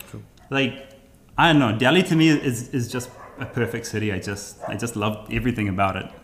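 A man's plain, everyday voice at medium pitch, fairly quick, with ordinary pitch variation and big swings in loudness. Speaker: travel YouTuber. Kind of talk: casual interview conversation.

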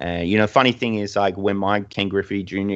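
This man's voice sits fairly low in pitch. He talks fairly quickly, with intonation kept fairly even. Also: quiet background. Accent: Australian. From Australia. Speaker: designer and artist. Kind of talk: casual interview.

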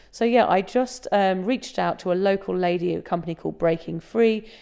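A dark, mellow tone with an English accent, ordinary pitch variation and a quiet background. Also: woman. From England. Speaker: sobriety blogger and author. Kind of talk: casual interview about personal story.

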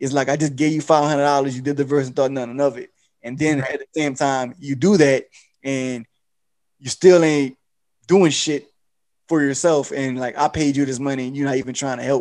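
With a normal speaking voice, a man talks at a fairly quick pace, his fairly high pitch held to fairly even intonation. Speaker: podcast host. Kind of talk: casual interview.

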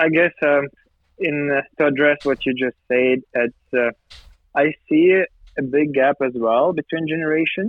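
Long, frequent pauses break up a man's fairly slow speech. His pitch is fairly high, with ordinary variation and very even loudness. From Ukraine, Poltava. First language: Ukrainian or Russian. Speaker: business association leader. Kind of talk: interview. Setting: remote call.

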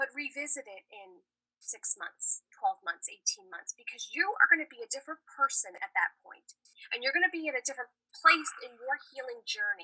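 A woman's high, raised, projected voice in an American accent, bright and sharp in tone, with very wide pitch swings, big swings in loudness, and a moderate pace, dry and close with no echo. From New York / New Jersey. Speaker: yoga therapist. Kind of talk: casual interview.

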